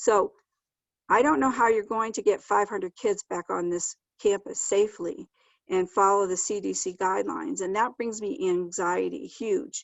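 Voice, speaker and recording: Speaking at a moderate pace, the woman has a normal speaking voice, a medium pitch, and ordinary pitch variation. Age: 60s. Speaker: kindergarten teacher. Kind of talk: public comment.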